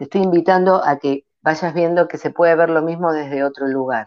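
A woman at a moderate pace with fairly even intonation, over a quiet background. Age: 50s. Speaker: ontological coach. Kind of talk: interview.

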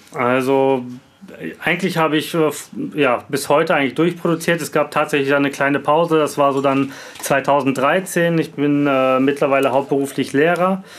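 Over noticeable background noise, a man with a fairly high pitch speaks at a moderate pace with fairly even intonation. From Bielefeld, Germany. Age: 30s. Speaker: rapper and music producer. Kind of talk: casual interview chat. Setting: home studio, video call.

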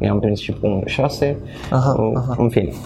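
A man speaks with music playing in the background. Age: 20s. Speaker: esports commentator. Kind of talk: casual chat.

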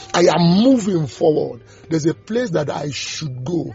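At a fairly slow pace, someone speaks while music plays behind them. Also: man. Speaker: preacher. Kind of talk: sermon and devotional with prayers and scripture teaching. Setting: audio devotional recording. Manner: fervent, exhortative preaching with declarations and blessings; halting, repeating words while searching for phrasing.

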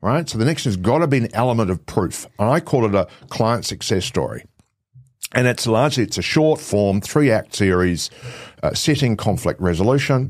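Speaking with a New Zealand accent, a man at medium pitch talks at a fairly quick pace with lively intonation on a very clean recording with a silent background. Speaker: presentation and video coach. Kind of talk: interview conversation.

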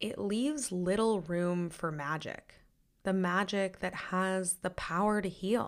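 Over a silent background in a very clean recording, a woman uses a normal speaking voice, medium in pitch with ordinary variation, at a fairly slow pace. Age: 30s. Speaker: podcast host. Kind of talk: solo podcast monologue.

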